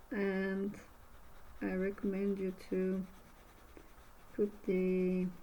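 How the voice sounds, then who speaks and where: A woman with a Bulgarian accent speaks very slowly in a dark, mellow, medium-pitched voice with monotone, flat intonation and long, frequent pauses. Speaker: art instructor. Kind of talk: tutorial. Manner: halting.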